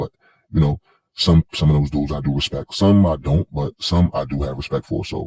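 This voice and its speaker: A man's very deep, low voice with fairly even intonation, in a dry, close sound with no echo. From Queens, New York (South Jamaica). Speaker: commentary vlogger. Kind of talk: monologue commentary. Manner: halting, many fillers and restarts.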